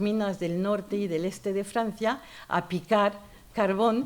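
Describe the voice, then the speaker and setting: A woman in a French accent, medium in pitch, at a fairly slow pace. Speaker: author and feminist columnist. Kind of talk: literary talk. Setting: university lecture hall with audience. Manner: animated.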